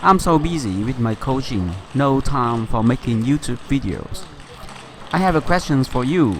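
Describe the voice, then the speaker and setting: Over noticeable background noise, a man with a Vietnamese accent speaks with lively intonation. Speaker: table tennis coach. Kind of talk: casual chat.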